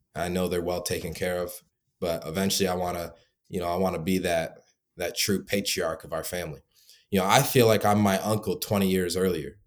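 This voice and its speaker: In a very clean recording with a silent background, a man with an American accent speaks at a fairly quick pace in a very deep, low voice with fairly even intonation. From Michigan. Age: 20s. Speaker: founder of a call center business for home service contractors. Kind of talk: interview.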